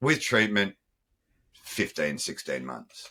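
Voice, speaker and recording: A man's bright, sharp voice with vocal fry and an Australian accent. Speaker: former nightclub owner. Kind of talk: interview.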